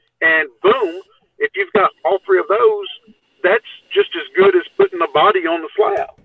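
A man in a Texan accent speaks at a moderate pace. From Texas. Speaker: Bigfoot researcher and TV show participant. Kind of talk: casual chat.

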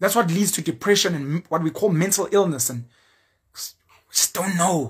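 A man with a South African accent speaks in an animated tone with lively intonation. His pace is moderate, on a very clean recording with a silent background. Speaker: YouTuber and social commentator. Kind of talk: opinion monologue.

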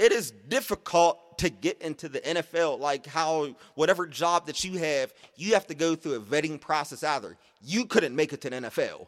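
In a dry, close sound with no echo, a man with an American accent and a normal speaking voice talks at a moderate pace, his fairly high pitch showing ordinary pitch variation. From Pittsburgh, Pennsylvania. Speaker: podcast co-host. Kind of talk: casual chat.

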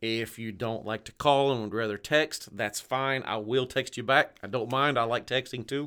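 A bright, sharp tone in a Tennessee accent, with fairly even intonation, a moderate pace, hardly any pauses and a very clean recording with a silent background. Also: man, medium pitch for a man. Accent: Tennessee accent, noticeable. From Southeast Tennessee, near Chattanooga. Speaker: realtor, former Navy. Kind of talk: casual radio interview.

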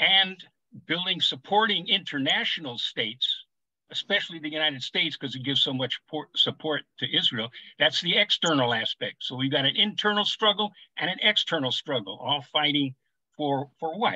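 His intonation is lively and his pitch fairly high for a man. The man speaks at a moderate pace. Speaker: political activist. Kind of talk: panel discussion. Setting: video call. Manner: animated.

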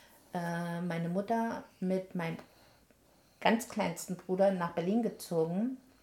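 At a very slow pace, a woman with a medium pitch and a somewhat breathy voice speaks with fairly even intonation. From eastern Germany, Halle an der Saale. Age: 70s. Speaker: retired nurse. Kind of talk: casual chat, life story.

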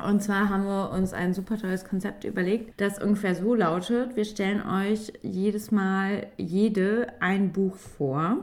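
A woman in a normal speaking voice talks fairly slowly at a medium pitch, with fairly even intonation and hardly any pauses. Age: 30s. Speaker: teacher and podcast host. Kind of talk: casual chat.

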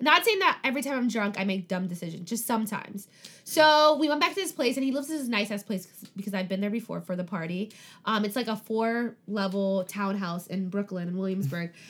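Here a woman has a normal speaking voice at medium pitch. She talks at a fairly quick pace with lively intonation. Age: 20s. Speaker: podcast host. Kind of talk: casual chat.

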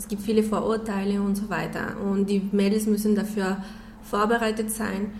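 In a Spanish accent, a woman with a fairly high pitch talks at a fairly slow pace, with noticeable background noise and audible room echo. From Mexico. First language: Spanish (speaking German). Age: 30s. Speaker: nonprofit president. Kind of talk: radio interview. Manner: halting, repeats words.

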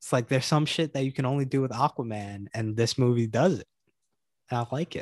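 A man with a normal speaking voice, medium pitch, ordinary pitch variation and a fairly quick pace, in a dry, close sound with no echo over a quiet background. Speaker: podcast co-host.

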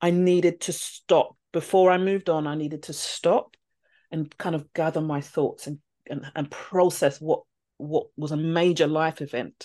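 This woman has a dark, mellow tone and a fairly low pitch. She speaks at a moderate pace over a quiet background. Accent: London. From London. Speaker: teacher. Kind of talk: interview conversation.

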